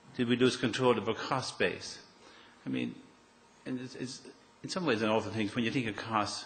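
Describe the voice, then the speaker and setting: Audible room echo around a man's medium-pitched voice in an Irish accent. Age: 60s. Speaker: property developer. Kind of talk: public talk. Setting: stage with audience.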